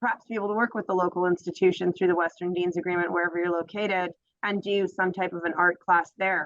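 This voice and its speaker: Her voice at a medium pitch, a woman talks at a very fast pace with monotone, flat intonation. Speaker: graduate student or program alumna. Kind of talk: Q&A in online info session.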